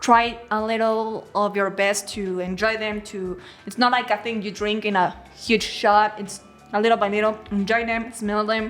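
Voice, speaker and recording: Music plays in the background as a woman with a Mexican accent speaks at a moderate pace. Her fairly high voice has a monotone, flat intonation. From Mexico. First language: Spanish. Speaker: host's wife. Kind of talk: casual chat.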